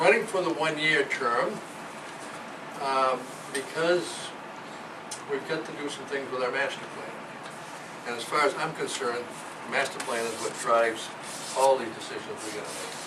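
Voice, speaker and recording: A man with a fairly high pitch and ordinary pitch variation speaks at a moderate pace, with long, frequent pauses, big swings in loudness, audible room echo and noticeable background noise. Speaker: town election candidate. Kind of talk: candidate speech at public forum. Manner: mumbling.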